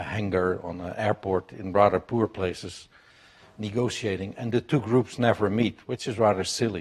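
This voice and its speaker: A man with a Dutch accent, fairly low pitch and fairly even intonation, at a moderate pace. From Netherlands. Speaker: business executive. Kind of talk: panel talk. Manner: loud.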